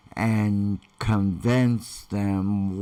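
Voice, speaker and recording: A man's fairly low voice at a very slow pace against a quiet background. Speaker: online marketer; vlogger telling his life story. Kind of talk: live stream talk. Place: home room. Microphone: webcam.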